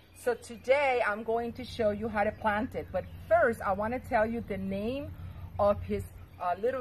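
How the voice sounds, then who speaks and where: A woman speaks with a non-native accent. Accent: foreign. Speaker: gardening vlogger. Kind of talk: tutorial. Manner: hesitant, many fillers.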